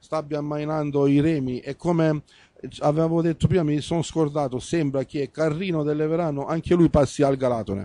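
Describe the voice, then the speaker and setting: The man's voice is fairly high-pitched, with a dark, mellow tone and fairly even intonation. He keeps a moderate pace, and the sound is dry with no echo. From Apulia. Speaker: local sports TV host. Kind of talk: sports talk show and results reading. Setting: bar. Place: studio. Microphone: handheld.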